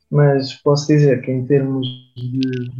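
Somewhat airy in quality, this man's voice sits fairly high for a male speaker. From Portugal, Aveiro. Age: 20s. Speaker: musician in a band. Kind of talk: radio interview. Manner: halting, frequent repetitions.

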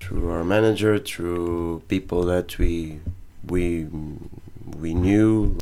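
With a Portuguese accent, a man speaks very slowly in a very deep, low voice with fairly even intonation. He leaves long, frequent pauses. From Portugal, Montijo. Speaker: rock band drummer. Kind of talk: casual interview.

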